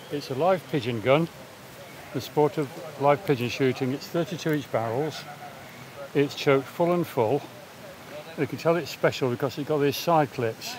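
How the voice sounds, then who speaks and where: Over noticeable background noise, a man with a fairly high voice speaks at a moderate pace with ordinary pitch variation, leaving long, frequent pauses. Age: 70s. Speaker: shooter. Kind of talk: casual explanation. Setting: outdoors.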